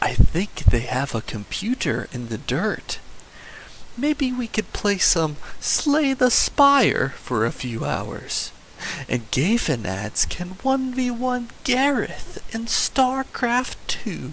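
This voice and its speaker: Over clear background noise, a man puts on a character voice with a high pitch and a very slow pace. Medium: read story.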